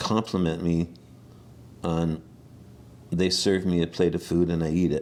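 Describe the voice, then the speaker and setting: At a fairly slow pace, a man with a very deep, low pitch speaks in a monotone, flat intonation. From Saskatchewan, Canada. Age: 60s. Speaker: herbalist. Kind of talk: interview. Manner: halting.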